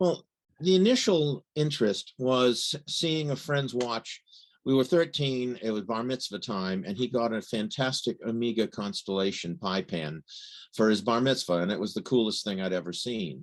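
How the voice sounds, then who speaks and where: A plain, everyday voice from a man with an American accent, medium in pitch, with lively intonation at a moderate pace over a quiet background. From United States. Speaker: watch journalist. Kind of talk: interview.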